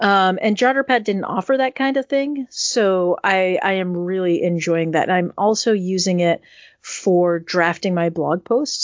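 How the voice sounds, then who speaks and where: This woman has an ordinary speaking voice with a medium pitch and an American accent, and she speaks at a fairly slow pace. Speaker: podcast co-host.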